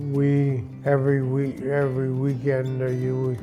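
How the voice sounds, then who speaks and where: A man talks while music plays in the background. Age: 80s+. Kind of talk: interview answer.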